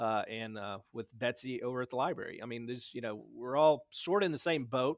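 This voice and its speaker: A man with a Tennessee accent, medium pitch and ordinary pitch variation. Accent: Southern US (Tennessee), noticeable. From West Tennessee, US South. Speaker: town administrator, Navy veteran. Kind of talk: casual interview. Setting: video call.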